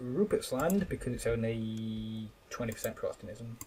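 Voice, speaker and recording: A man speaks with an English accent. His pitch varies in an ordinary way. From England. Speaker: gaming YouTuber. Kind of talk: gameplay commentary. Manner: casual, hesitant with repeated words.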